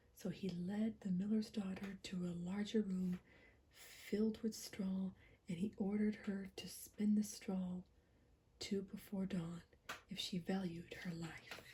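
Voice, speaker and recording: Whispering in a soft-spoken, somewhat breathy way, a woman talks at a fairly slow pace with a gentle tone. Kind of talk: gentle whispered ASMR fairy tale story reading. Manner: whispered, gentle, soft.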